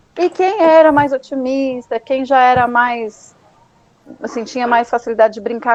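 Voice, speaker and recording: Over noticeable background noise, a woman speaks in a high pitch, the sound dry and close with no echo. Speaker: psychoanalyst. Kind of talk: educational talk. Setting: live stream. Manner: animated.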